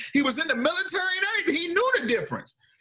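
Over background music, a man talks in a raised, projected voice at a very fast pace. His pitch swings very widely. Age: 30s. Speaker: podcast host. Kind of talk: casual chat.

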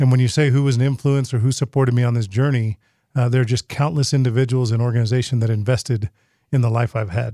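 Very fast and at a medium pitch, a man talks in a dark, mellow tone with fairly even intonation. His loudness stays very even in a dry, close sound with no echo. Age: 40s. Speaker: state auditor, politician. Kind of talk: podcast interview. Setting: studio.

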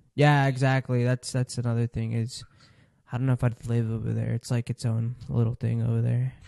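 A man talks at a fairly quick pace. The sound is dry and close with no echo, and the background is quiet. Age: 20s. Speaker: podcast host. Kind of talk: casual chat.

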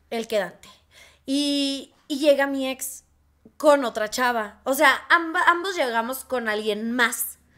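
Raising and projecting her voice, a woman speaks with a high pitch, a bright, sharp tone and ordinary pitch variation. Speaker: podcast co-host. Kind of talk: casual chat. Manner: fast.

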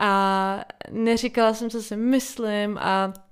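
A woman with a medium pitch talks in a monotone, flat intonation, captured on a very clean recording with a silent background. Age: 20s. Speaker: solo podcaster. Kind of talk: casual monologue. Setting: home.

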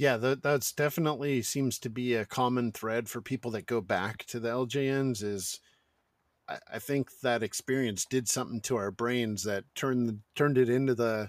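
A man with an American accent speaks at a moderate pace in a medium pitch, his intonation fairly even. He has a plain, everyday voice, and the recording is very clean with a silent background. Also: dry, close sound with no echo. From Northern California, North Bay. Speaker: podcast host. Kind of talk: casual interview chat.

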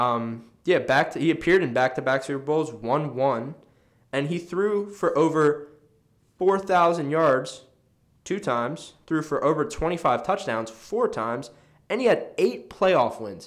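At a fairly slow pace, a man speaks in an ordinary speaking voice at a fairly high pitch. His intonation is lively. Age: 20s. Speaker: sports podcast co-host. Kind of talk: casual chat. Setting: studio.

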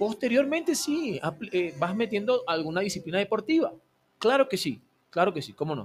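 Speaking at a moderate pace, the man lets his pitch swing very widely. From Venezuela (Maracay, Aragua). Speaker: personal trainer and physical education teacher. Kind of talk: radio interview. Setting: radio studio.

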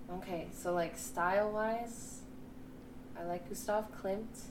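Over noticeable background noise, a woman with a medium-pitched voice talks at a very slow pace, leaving long, frequent pauses and keeping her intonation fairly even. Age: 20s. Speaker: artist. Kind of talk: casual interview chat.

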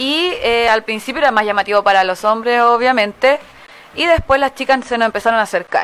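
With ordinary pitch variation, a woman talks at a fairly quick pace in a high pitch. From Santiago, Chile. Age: 20s. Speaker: dance studio founder. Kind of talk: interview.

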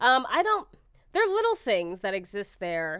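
A woman with an American accent speaks with very wide pitch swings, recorded very cleanly against a silent background. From Texas, Austin. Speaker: stand-up comedian. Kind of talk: casual chat. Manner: fast.

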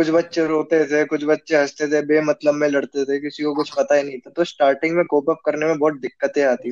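A man talks at a moderate pace in a fairly high register. He has a normal speaking voice. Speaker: student, host's classmate. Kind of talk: casual chat.

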